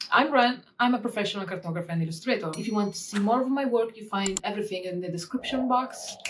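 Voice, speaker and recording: Delivered in a strong Italian accent at a very fast pace with hardly any pauses, the speech has ordinary pitch variation over noticeable background noise. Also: woman. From Italy. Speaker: cartographer and illustrator; illustrator youtuber. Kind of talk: tutorial. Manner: animated. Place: home room.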